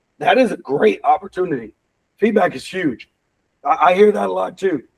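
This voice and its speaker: A loud, animated man, with a dry, close sound and no echo. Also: moderate pace. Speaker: real estate team leader. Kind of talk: team meeting talk.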